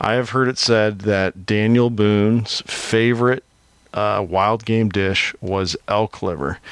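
A man with a Midwestern US accent speaks very slowly at a fairly low pitch. His intonation stays fairly even. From Iowa. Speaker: podcast host. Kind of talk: casual podcast interview.

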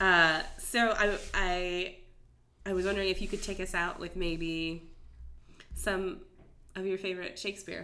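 Her voice sits at medium pitch with a bright, sharp tone, and this woman leaves long, frequent pauses. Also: fairly slow pace. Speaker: podcast host and actor. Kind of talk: casual interview. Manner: animated.

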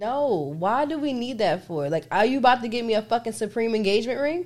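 Loud and fairly quick, a woman speaks at a fairly high pitch with very wide pitch swings. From New Jersey. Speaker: podcast co-host. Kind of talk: casual chat.

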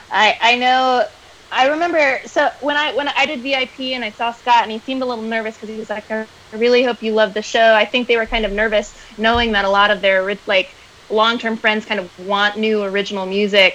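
Through noticeable background noise, a woman speaks fairly quickly at a fairly high pitch with ordinary pitch variation. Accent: American. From US South, Atlanta, Georgia. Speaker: fan guest. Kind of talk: casual chat.

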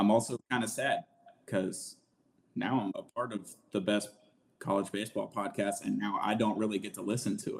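The speech has a Southern US accent. It moves at a fairly quick pace. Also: man. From Alabama, US South. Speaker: sports podcaster. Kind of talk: casual chat. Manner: animated.

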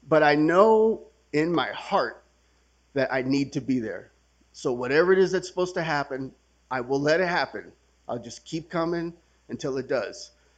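Ordinary pitch variation and a moderate pace mark this voice with an American accent. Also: man. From California, San Francisco Bay Area (Milpitas). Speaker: recovering alcoholic, main speaker at a retreat. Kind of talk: testimony.

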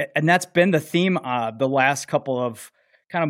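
Speaking in a plain, everyday voice at a fairly quick pace, a man shows ordinary pitch variation on a very clean recording with a silent background. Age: 50s. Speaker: podcast host, fire lieutenant. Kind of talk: casual podcast chat; show outro.

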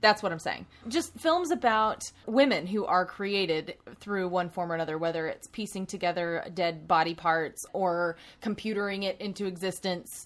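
Recorded very cleanly against a silent background, a woman with an unremarkable speaking voice talks at a moderate pace, with medium pitch and ordinary pitch variation. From US South. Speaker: podcast co-host. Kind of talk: casual chat.

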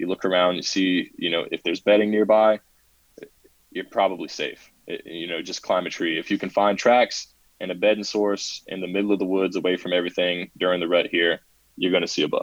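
With a Southern US accent, a man speaks at a fairly quick pace. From South Carolina. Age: 20s. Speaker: hunter and Air Force veteran. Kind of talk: casual interview.

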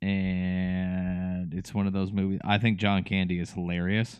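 The man speaks with a fairly low pitch. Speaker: podcast co-host. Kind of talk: casual chat.

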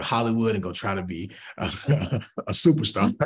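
The room echo is clearly audible. A man talks with an American accent. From US South, Atlanta, Georgia. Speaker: pastor. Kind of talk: casual interview.

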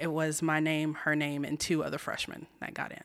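Heard in a very clean recording against a silent background, a woman speaks with an American accent. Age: 30s. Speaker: community theater actress. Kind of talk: interview.

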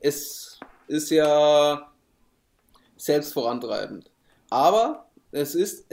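This man speaks with a fairly high pitch. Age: 30s. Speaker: podcast co-host, digital marketer. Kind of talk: casual chat.

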